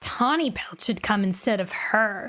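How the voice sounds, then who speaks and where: A woman puts on a gruff, growling character voice at medium pitch with lively intonation. She keeps a moderate pace. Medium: virtual streamer. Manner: gruff, scowling.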